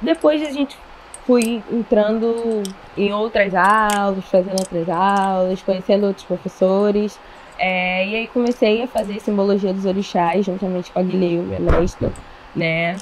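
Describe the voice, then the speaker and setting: Over noticeable background noise, a woman at a medium pitch talks at a fairly slow pace. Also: ordinary pitch variation. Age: 20s. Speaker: dance teacher and dancer. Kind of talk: casual interview.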